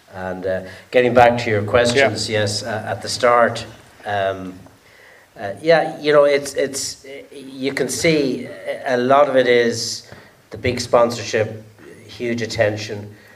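A man speaks at a very slow pace, leaving long, frequent pauses. Noticeable background noise runs underneath. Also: medium pitch for a man, ordinary pitch variation. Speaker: sailor who took part in an ocean race. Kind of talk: storytelling in a Q&A. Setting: stage with audience. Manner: humorous, light-hearted.

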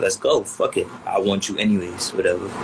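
A man in an American accent talks fairly quickly against noticeable background noise. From Queens, New York City. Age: 20s. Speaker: rapper. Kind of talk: casual interview.

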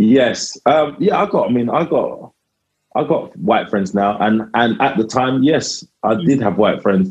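With a South London accent, a man speaks at a fairly slow pace, his pitch swinging very widely while his loudness stays very even. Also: medium pitch for a man. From south London (Lewisham). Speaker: comedian. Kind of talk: casual chat.

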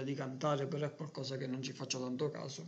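Over noticeable background noise and audible room echo, a man with a fairly high pitch rushes along at a very fast pace in a monotone, flat intonation. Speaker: podcast co-host. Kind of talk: casual chat. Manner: trying to speak louder.

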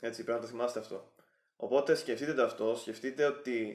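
Keeping a monotone, flat intonation, a man speaks at medium pitch and moderate pace. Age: 20s. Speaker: YouTuber giving relationship advice. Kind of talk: vlog monologue.

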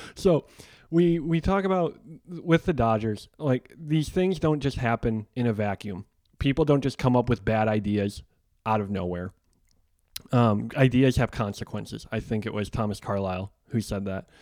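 A man with an American accent has an ordinary speaking voice at a medium pitch, talking at a moderate pace with lively intonation on a very clean recording with a silent background. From Chicago, US Midwest. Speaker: podcast host. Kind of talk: interview.

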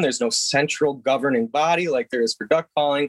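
Recorded with a dry, close sound and no echo, a man with an American accent speaks with lively intonation. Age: 30s. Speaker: waterfowl guide and goose calling instructor. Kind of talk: casual interview. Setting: video call. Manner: talkative, talks over the host.

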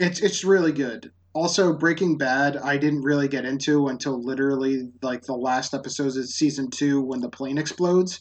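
This man talks with a fairly high pitch and ordinary pitch variation. He keeps a moderate pace with hardly any pauses. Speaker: podcast co-host. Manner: animated, joking.

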